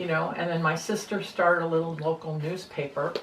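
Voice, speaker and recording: At a moderate pace, a woman talks with a fairly low pitch over noticeable background noise. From United States. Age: 70s. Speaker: interviewee sharing views on government. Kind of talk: casual conversation. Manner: hesitant, with fillers.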